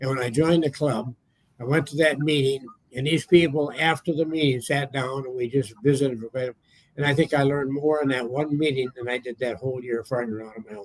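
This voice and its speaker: At a very fast pace, a man speaks at medium pitch with fairly even intonation and big swings in loudness. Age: 80s+. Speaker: metal detectorist. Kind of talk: casual chat. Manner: halting.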